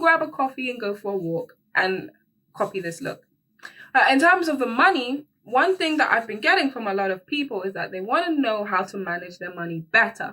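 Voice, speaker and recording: A woman's bright, sharp, animated voice moves at a fairly quick pace with very wide pitch swings. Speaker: beauty and personal finance YouTuber. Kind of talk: casual vlog tutorial. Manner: chatty, animated.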